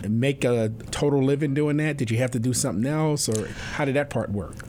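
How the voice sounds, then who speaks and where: Fairly even intonation and very even loudness come through over noticeable background noise. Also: man. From US Northeast, New York City. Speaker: university president and podcast host. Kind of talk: interview conversation; scripted introduction.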